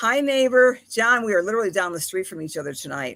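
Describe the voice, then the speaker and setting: With a Buffalo accent, a woman speaks with very wide pitch swings on a very clean recording with a silent background. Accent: Buffalo, harsh. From Buffalo, New York. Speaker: astrologer and medium hosting a live show. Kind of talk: live stream chat with viewers. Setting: live video stream, in the woods. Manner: warm, chatty, repeats words.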